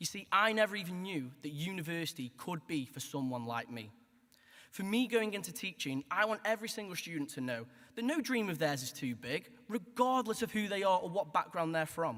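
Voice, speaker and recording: A man with a Stoke accent talks at a fairly quick pace in a high pitch with very wide pitch swings. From Stoke-on-Trent, England. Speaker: graduating student. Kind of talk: graduation speech. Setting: hall with audience.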